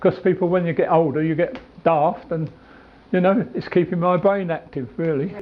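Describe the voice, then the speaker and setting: A man talks in a high voice. His pitch varies in an ordinary way. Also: moderate pace. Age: 80s+. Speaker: community group member. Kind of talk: interview talk.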